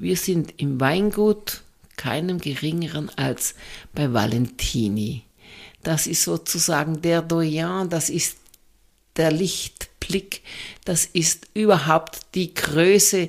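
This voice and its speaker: Very slow and broken by long, frequent pauses, a woman's fairly low voice carries lively intonation on a very clean recording with a silent background. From southern Germany, Swabia. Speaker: sommelier. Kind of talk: casual interview.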